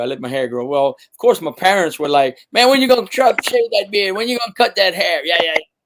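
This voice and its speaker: A man speaks with a Cajun accent. His pitch swings very widely. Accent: authentic Cajun. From Louisiana, Cajun bayou country. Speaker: musician. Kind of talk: casual chat.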